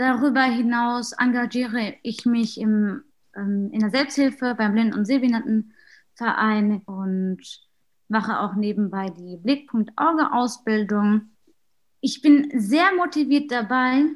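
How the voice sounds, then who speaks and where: A woman with a fairly high pitch talks at a very slow pace, her pitch moving in an ordinary way. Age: 20s. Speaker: student and youth group leader. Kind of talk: casual self-introduction. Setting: video call.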